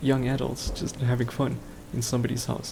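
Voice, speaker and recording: Over noticeable background noise, a soft-spoken man talks in a monotone with flat intonation. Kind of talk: casual rambling talk, sleep aid. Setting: home microphone recording.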